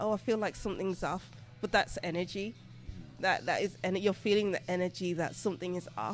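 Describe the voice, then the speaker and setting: With music in the background, a woman in a British accent talks at a fairly quick pace, her pitch medium with ordinary variation. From Birmingham, England. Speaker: tarot reader and English teacher. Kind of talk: interview answer.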